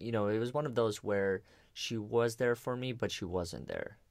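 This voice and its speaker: Moderately paced male speech, very clean recording, silent background. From abroad, came to the US at twelve. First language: not English. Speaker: podcast host. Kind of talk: casual interview.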